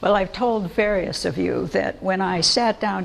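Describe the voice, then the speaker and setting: A woman talks over noticeable background noise. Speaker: biblical scholar, lecturer. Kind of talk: public lecture. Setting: church lecture with audience.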